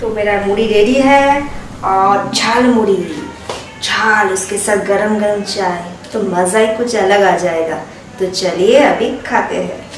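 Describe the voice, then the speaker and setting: A woman talks at a very slow pace with fairly even intonation. Light background noise and audible room echo are present. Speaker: food vlogger. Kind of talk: casual vlog chat. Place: kitchen.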